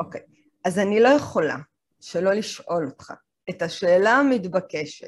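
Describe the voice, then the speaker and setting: A woman talks in an unremarkable speaking voice at a medium pitch. Her intonation is lively and her pace fairly slow. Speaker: podcast host and lecturer. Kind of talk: interview.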